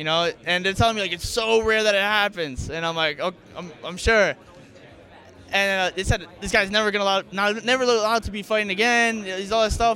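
A man with an American accent speaks in a raised, projected voice, high in pitch. He keeps a fairly quick pace and fairly even intonation. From US, Staten Island NY. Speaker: fighter. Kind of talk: press interview. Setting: arena press event.

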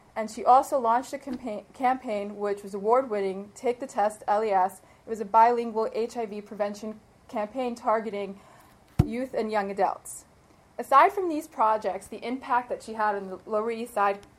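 Pitched fairly high, a woman speaks at a moderate pace with fairly even intonation. Her loudness swings widely, and background noise is noticeable. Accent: American. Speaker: lawyer, bar association president-elect. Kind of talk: tribute speech. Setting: stage with audience.

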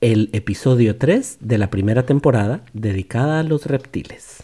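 A man's dark, mellow, somewhat breathy voice at medium pitch, with ordinary pitch variation and a very slow pace. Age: 40s. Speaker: podcast host and father. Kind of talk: casual educational chat with his child.

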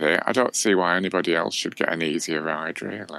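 Over noticeable background noise, a man with a strong South Yorkshire accent talks at a fairly quick pace. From South Yorkshire, England. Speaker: baker and cookbook author. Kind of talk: casual chat.

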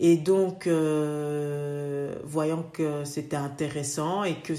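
A woman's very deep, low voice with fairly even intonation and audible room echo. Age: 30s. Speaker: dentist. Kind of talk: casual interview.

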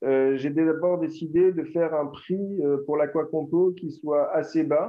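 A man's fairly high-pitched voice at a fairly slow pace, with fairly even intonation. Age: 40s. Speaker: entrepreneur. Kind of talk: interview. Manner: halting.

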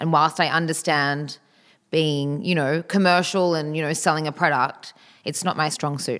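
With an Australian accent, a woman speaks at a moderate pace in a very deep, low voice with fairly even intonation, on a very clean recording with a silent background. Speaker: eyewear designer. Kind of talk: interview conversation.

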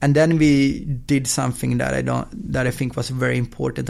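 This is a man speaking. He has a Swedish accent. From Sweden. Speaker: football app company founder. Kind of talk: interview. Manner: fast.

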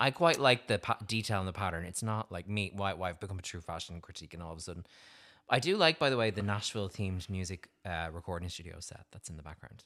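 A man with an Irish accent speaks at a very fast pace in a very deep, low voice with a bright, sharp tone and big swings in loudness, on a very clean recording with a silent background. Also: ordinary pitch variation. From Ireland. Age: 30s. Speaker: podcast host. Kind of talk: casual chat. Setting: studio.

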